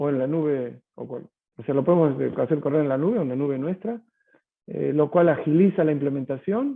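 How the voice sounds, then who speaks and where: A man with a Rioplatense accent, fairly high-pitched, with lively intonation. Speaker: tech company sales executive. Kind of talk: webinar Q&A answer. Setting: online webinar. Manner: hesitant, many fillers and repetitions.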